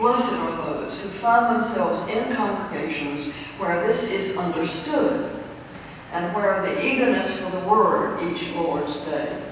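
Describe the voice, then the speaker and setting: Over light background noise and strong room echo, a woman speaks at a fairly slow pace. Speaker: preacher. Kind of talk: lecture. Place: church.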